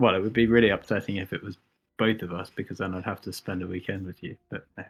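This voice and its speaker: In a British accent, a man talks at a very fast pace with a very deep, low pitch and monotone, flat intonation. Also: big swings in loudness. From UK. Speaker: airsoft sniper youtuber. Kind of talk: casual chat. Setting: live stream.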